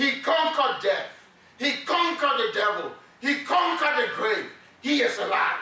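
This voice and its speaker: A raised, projected voice with lively intonation and very even loudness comes at a moderate pace over noticeable background noise. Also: man, extremely high pitch for a man. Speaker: preacher. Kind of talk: sermon. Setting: church. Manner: animated, call-and-response preaching, repeats words when emphatic.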